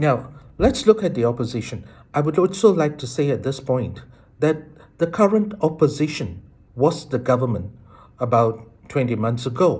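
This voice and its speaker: A man with a fairly high pitch and a somewhat breathy voice speaks at a moderate pace with lively intonation. He leaves long, frequent pauses. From Malaysia. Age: 60s. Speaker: citizen commentator. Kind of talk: political monologue.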